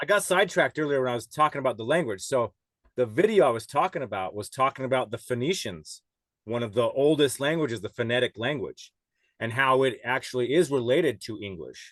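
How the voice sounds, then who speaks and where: A man's very fast, lively speech with a dry, close sound and no echo. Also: medium pitch for a man. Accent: Western US. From Utah, US (Salt Lake City). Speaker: podcast guest. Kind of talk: casual chat.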